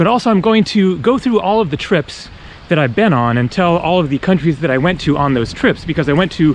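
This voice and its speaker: Noticeable background noise sits behind a man's voice. His pitch is high and his intonation lively. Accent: American. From Northern California. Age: 40s. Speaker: travel vlogger. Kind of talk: casual vlog narration while walking. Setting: outdoors on a hiking trail. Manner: relaxed, with frequent fillers.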